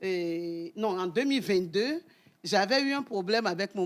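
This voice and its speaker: Using an ordinary speaking voice, a woman talks at a moderate pace and medium pitch with lively intonation. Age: 60s. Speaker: debate panelist. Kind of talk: TV studio debate.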